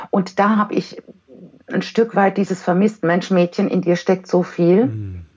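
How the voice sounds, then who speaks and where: A woman with medium pitch and vocal fry talks at a fairly slow pace. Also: ordinary pitch variation. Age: 40s. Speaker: giftedness educator and parent counselor. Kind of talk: podcast interview.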